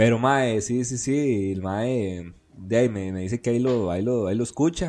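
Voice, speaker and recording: A man with a Costa Rican accent speaks at a moderate pace in a medium pitch, with ordinary pitch variation and a dark, mellow tone. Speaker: podcast host. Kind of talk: history narration; casual chat.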